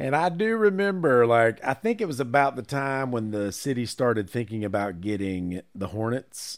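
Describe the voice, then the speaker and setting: In a recording that is very clean with a silent background, a man with an American accent uses an unremarkable speaking voice at medium pitch, with lively intonation, a moderate pace and hardly any pauses. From Charlotte, North Carolina. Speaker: podcast co-host. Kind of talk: casual chat. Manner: laughs often.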